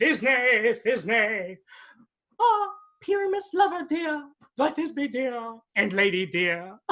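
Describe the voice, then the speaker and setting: In a theatrical, put-on character voice, a man goes into a squeaky falsetto at an extremely high pitch, with very wide pitch swings, a very slow pace, and long, frequent pauses. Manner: theatrical, comic, pretending to be a lady.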